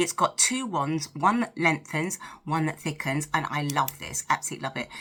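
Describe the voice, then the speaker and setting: A woman speaks in a British accent. Her intonation is lively. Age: 50s. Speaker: lifestyle vlogger. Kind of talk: casual chat to camera while doing makeup. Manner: chatty, talkative.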